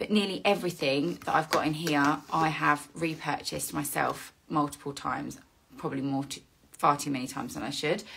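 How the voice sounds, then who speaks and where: A woman's voice with vocal fry. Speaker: skincare content creator. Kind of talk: casual vlog chat. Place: home room. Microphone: phone near.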